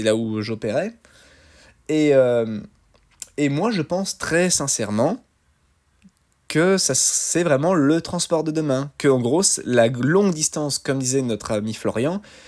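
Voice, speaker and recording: Very slow and fairly high-pitched, a man speaks in a Lyon accent with lively intonation. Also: long, frequent pauses. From France, Lyon area. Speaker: truck driver podcaster. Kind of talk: solo podcast commentary. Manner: halting, many fillers.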